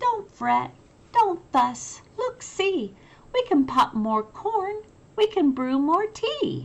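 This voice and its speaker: Her put-on character voice is squeaky and extremely high. The woman delivers it very slowly. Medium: read story.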